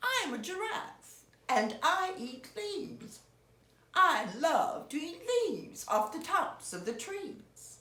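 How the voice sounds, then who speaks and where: A put-on character voice, high-pitched with very wide pitch swings, delivered at a fairly slow pace with a slight echo. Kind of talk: bedtime story. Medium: read story.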